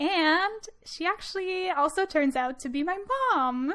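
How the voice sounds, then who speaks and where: A woman speaks at a very slow pace with a slight Quebec accent. Her pitch is extremely high and her intonation lively. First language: French. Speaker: podcast host, student. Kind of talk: scripted introduction; podcast interview.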